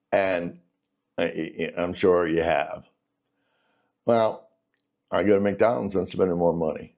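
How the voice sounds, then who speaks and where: Fairly slow, unhurried male speech broken by long, frequent pauses. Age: 60s. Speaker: economics educator. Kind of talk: casual lecture. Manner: conversational.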